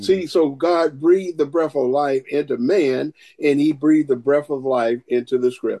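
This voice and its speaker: A man with an American accent, a fairly high pitch and a dark, mellow tone, in a dry, close sound with no echo. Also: ordinary pitch variation, moderate pace. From US South, Augusta, Georgia. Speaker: preacher and Bible instructor. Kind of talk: interview and scripture teaching.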